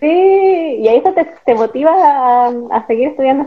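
The pace stays moderate. This woman's voice has very wide pitch swings. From northern Chile (Atacama). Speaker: podcast host. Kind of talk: casual interview chat.

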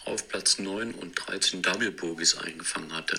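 A man's voice over noticeable background noise. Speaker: disc golf player. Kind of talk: scripted narration. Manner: narrative storytelling.

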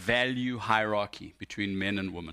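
The recording is very clean, with a silent background. A man speaks at a moderate pace in a bright, sharp tone. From South Africa. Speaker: guest preacher. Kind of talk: sermon.

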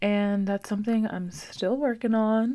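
A woman's relaxed tone at a moderate pace. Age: 20s. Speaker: podcast host. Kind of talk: casual solo monologue; reading affirmations. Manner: relaxed, filler-heavy.

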